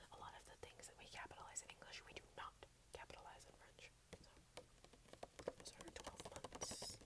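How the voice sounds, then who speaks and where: Someone whispers in an American accent at a moderate pace, with long, frequent pauses and noticeable background noise. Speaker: ASMR creator. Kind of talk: ASMR whispered French lesson. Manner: whispered.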